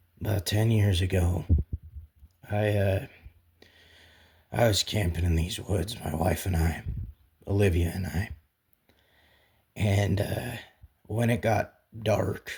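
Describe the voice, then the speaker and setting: A put-on character voice, raspy and gruff, at a fairly slow pace with long, frequent pauses. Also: man, fairly low pitch for a man. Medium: read story. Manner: halting, gruff.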